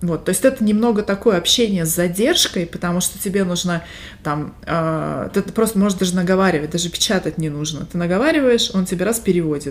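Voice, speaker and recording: A woman at a medium pitch and moderate pace, a normal speaking voice with ordinary pitch variation. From Siberia, Russia (Barnaul). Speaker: podcast co-host. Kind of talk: casual chat.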